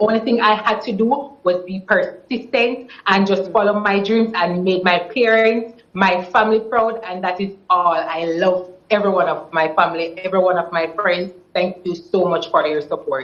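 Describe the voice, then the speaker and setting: A woman with a Jamaican accent speaks at a medium pitch and moderate pace, with hardly any pauses. There is noticeable background noise. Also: ordinary pitch variation. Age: 20s. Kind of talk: TV interview answer.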